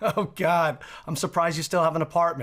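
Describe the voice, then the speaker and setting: High male voice against noticeable background noise. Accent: New York. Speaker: sports betting podcast host. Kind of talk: casual interview.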